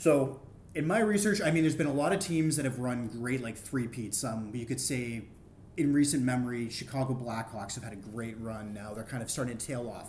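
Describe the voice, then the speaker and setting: A somewhat breathy man speaks fairly quickly at a medium pitch with ordinary pitch variation. His loudness swings widely, and room echo is audible. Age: 30s. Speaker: sports podcast co-guest. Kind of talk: casual chat.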